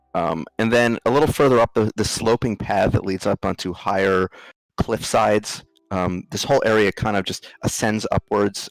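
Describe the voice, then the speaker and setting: In a very clean recording with a silent background, a man with a New Jersey accent speaks at a moderate pace and a fairly low pitch. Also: dry, close sound with no echo. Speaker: game master of a tabletop role-playing game. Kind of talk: narration of a tabletop role-playing game. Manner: hesitant, many ums.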